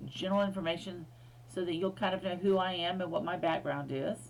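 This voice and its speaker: A woman with an American accent speaks at a medium pitch and a moderate pace, with vocal fry. Room echo can be heard. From US, Air Force bases in several states. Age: 60s. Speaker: history professor. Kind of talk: recorded lecture. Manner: casual, with many fillers.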